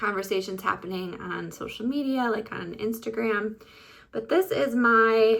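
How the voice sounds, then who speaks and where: With an Upper Midwest accent, a woman talks at a fairly slow pace in a fairly high pitch with ordinary pitch variation. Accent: Upper Midwest American. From Michigan. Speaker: podcast host, knitter. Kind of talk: casual vlog chat.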